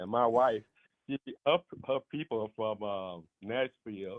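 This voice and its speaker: A man's medium-pitched voice in an Alabama accent, with fairly even intonation. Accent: Southern US (Alabama). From US South, Montgomery, Alabama. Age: 60s. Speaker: caller. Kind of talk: casual chat. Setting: phone call.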